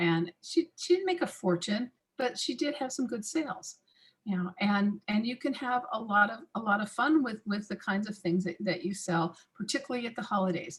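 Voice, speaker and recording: Her voice fairly high and somewhat breathy, a woman speaks at a moderate pace with lively intonation. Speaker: massage industry expert. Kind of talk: webinar talk.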